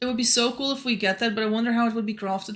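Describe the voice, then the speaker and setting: With a non-native accent, a woman talks in a fairly high pitch and a fairly even intonation. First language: not English. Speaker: gaming streamer. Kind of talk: live gameplay commentary. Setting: livestream. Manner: casual, chatty.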